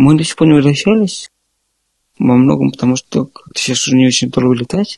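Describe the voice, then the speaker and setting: With a dry, close sound and no echo, a man talks at a fairly quick pace broken by long, frequent pauses. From Moscow, Russia. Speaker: software developer. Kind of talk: casual interview chat.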